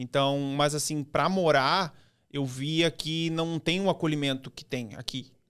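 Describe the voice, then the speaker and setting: Intonation holds fairly even. The speaking moves at a fairly slow pace. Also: man, fairly high pitch for a man. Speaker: digital strategist and author. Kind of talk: podcast interview.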